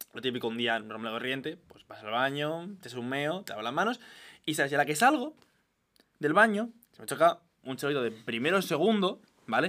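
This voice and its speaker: A man with a bright, sharp tone and fairly high pitch speaks at a moderate pace, his pitch swinging very widely and his loudness rising and falling a lot. He leaves long, frequent pauses, and the recording is very clean with a silent background. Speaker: podcast co-host. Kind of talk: casual chat.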